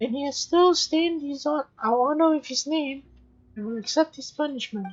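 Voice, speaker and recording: A female-sounding, put-on character voice runs high in pitch for a woman at a moderate pace. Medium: solo performance. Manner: formal, dignified.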